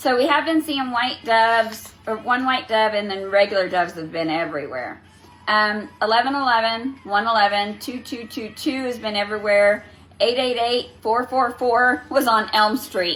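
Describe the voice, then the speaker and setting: Her voice sits fairly high, and this woman uses ordinary pitch variation. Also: moderate pace. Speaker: spiritual reader, livestreamer. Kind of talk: casual livestream talk. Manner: animated.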